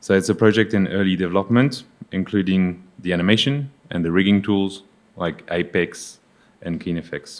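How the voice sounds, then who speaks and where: This man has a very deep, low voice with ordinary pitch variation. He talks at a moderate pace. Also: very clean recording, silent background. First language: not English. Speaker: executive producer at animation studio. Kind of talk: conference presentation. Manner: halting.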